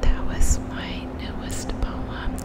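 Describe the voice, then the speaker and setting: A woman whispers at a very slow pace. Noticeable background noise is present. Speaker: ASMR creator and reiki practitioner. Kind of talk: poetry reading. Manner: soft, slow, whispered.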